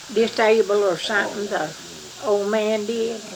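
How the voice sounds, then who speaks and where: In an Appalachian accent, a woman speaks at a fairly slow pace with a fairly high pitch and monotone, flat intonation, amid noticeable background noise and audible room echo. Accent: Appalachian Kentucky. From eastern Kentucky. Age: 80s+. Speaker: family elder. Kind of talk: oral history interview. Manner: halting.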